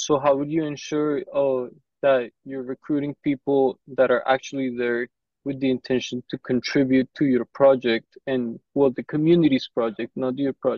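Against a quiet background, a man speaks at a moderate pace in a flat monotone, the sound dry with no echo. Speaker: meeting participant; interviewer asking questions. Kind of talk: casual chat. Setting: video call. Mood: polite, thoughtful. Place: office. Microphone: earbuds.

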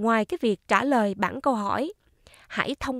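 On a very clean recording with a silent background and a dry, close sound with no echo, a woman speaks very slowly at a fairly high pitch with lively intonation. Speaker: YouTuber explaining retirement benefits. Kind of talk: informational talk and Q&A. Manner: formal.

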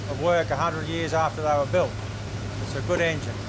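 A man's voice over noticeable background noise. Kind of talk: interview answer. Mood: cheerful, proud. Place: boat.

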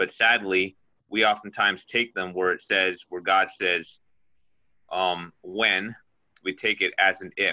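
Against a quiet background, a man with an unremarkable speaking voice talks at a fairly slow pace and a fairly low pitch. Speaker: lay preacher. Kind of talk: sermon testimony. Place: home room. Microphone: phone near.

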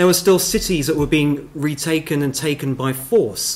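Speaking at a moderate pace, a man delivers the words. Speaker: panel expert. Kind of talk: panel discussion answer. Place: meeting room. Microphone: podium.

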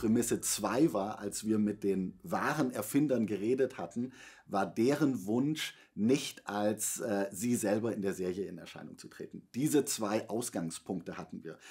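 Speaking at a fairly slow pace, a man has a fairly low pitch and a dark, mellow tone. His loudness swings widely against a quiet background. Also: ordinary pitch variation. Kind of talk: interview answer. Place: studio.

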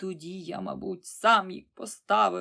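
A woman's put-on character voice, fairly low and hissing, at a moderate pace. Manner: sarcastic, hissing.

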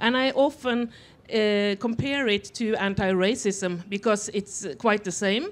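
Speaking with a Norwegian accent, a woman has a fairly high pitch. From Norway. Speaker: author; panelist. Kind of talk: panel discussion. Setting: festival stage with audience. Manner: halting. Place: stage. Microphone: handheld.

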